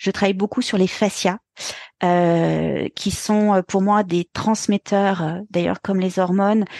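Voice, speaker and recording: In a dry, close recording with no echo and a quiet background, a woman speaks at a medium pitch, fairly slowly, in a flat monotone. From France, Burgundy. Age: 40s. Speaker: pilates and dance teacher. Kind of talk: interview. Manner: hesitant.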